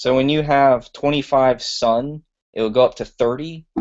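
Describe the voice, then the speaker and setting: He has a normal speaking voice, with a medium pitch, at a moderate pace. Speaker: tech presenter. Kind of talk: tutorial. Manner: casual.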